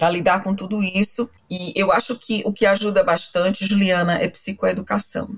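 Somewhat breathy and medium in pitch, a woman speaks with fairly even intonation and hardly any pauses. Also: moderate pace. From Brazil, Fortaleza (Northeast). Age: 40s. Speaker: psychologist and professor. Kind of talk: interview.

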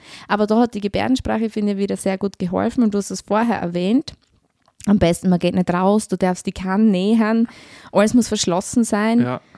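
Speaking at a fairly quick pace in a Styrian accent, a woman has a medium pitch and a dark, mellow tone. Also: ordinary pitch variation. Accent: Styrian Austrian German. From Austria, Styria. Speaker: social worker. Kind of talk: interview.

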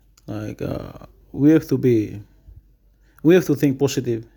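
A man's medium-pitched voice with a dark, mellow tone on a very clean recording with a silent background. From Papua New Guinea, Western Highlands. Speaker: college student. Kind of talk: casual chat. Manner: halting, many fillers.

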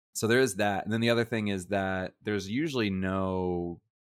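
An unremarkable speaking voice from a man with an American accent, fairly low in pitch with ordinary variation, at a moderate pace, in a dry, close sound with no echo. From United States. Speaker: podcast co-host, English teacher. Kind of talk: casual chat.

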